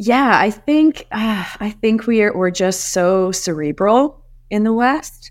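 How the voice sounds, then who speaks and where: A woman speaks at a very slow pace. Her voice sits fairly high in pitch, with lively intonation. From South Africa, Johannesburg. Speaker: psychedelics business executive. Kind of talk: interview.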